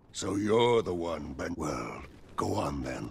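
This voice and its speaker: A raspy, put-on character voice moves at a fairly slow pace. Its pitch swings very widely. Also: man, very deep, low pitch for a man. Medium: video game. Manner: curt, authoritative.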